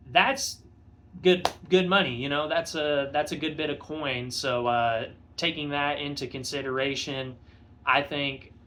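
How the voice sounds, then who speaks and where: This man speaks at a fairly slow pace in a bright, sharp tone with fairly even intonation. Room echo can be heard around his voice. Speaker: motorcycle vlogger. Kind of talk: casual vlog review. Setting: home garage. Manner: halting, many fillers. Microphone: phone recording.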